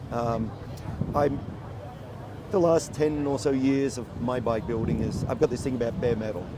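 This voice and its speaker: A man of medium pitch speaks with ordinary pitch variation and long, frequent pauses. Audible room echo and noticeable background noise fill the recording. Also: moderate pace. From Australia. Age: 60s. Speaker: motorcycle builder and judge. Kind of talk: casual interview.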